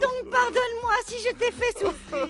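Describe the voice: In a put-on character voice, a woman speaks at a moderate pace with an extremely high pitch, lively intonation and a fairly bright tone.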